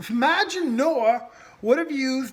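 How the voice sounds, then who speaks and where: Speaking at a fairly slow pace, a man has an extremely high pitch. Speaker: bushcraft and prepping YouTuber. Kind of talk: casual talk to camera. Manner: passionate, volume rises at times.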